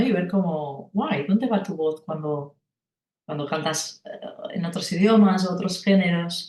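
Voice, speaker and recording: A woman with a Catalan accent, medium in pitch with ordinary pitch variation, at a fairly slow pace. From rural Catalonia, Spain. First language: Catalan (speaking Spanish). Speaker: singer and vocal coach. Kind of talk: interview conversation. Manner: halting, many repetitions and fillers.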